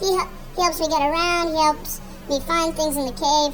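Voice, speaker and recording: A woman puts on a squeaky character voice at a fairly quick pace, with music playing in the background. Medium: audio drama. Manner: gruff, aggrieved.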